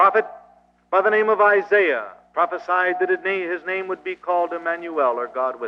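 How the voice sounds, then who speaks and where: This man has a high pitch and an American accent. He talks at a fairly quick pace. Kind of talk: anti-communist seminar speech to a live audience. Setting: live auditorium recording from old reel tape. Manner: earnest, preacher-like lecture delivery.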